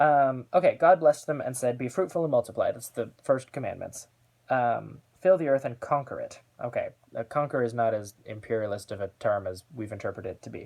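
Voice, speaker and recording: Speaking at a fairly quick pace, a man's voice shows big swings in loudness. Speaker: queer theology video host. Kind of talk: scripture reading with commentary. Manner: unscripted, filler-heavy.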